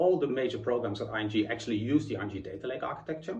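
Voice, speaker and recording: A man with a Dutch accent speaks at a very fast pace with vocal fry and very wide pitch swings, audible room echo around him. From Netherlands. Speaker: chief information architect, conference speaker. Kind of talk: conference talk.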